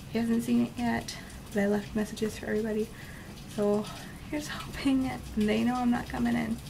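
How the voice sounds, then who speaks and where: At a fairly quick pace, a woman talks against noticeable background noise. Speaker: reptile keeper vlogger. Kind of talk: casual vlog chat. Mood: stressed but upbeat. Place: home room. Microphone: phone near.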